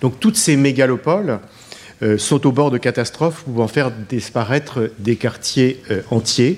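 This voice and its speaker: At a fairly slow pace, a man talks in a medium pitch with ordinary pitch variation and very even loudness. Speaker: professor and session moderator. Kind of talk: formal moderating. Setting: conference hall with audience. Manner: hesitant, formal.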